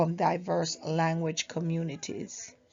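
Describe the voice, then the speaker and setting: In a Jamaican accent, a woman speaks at a fairly slow pace. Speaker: university student. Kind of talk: class presentation. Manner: halting.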